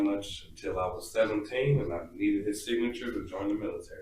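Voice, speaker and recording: A man talks with an American accent in a somewhat breathy voice and fairly even intonation. The room echo is audible. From San Diego, California. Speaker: military veteran, father. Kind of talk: casual chat.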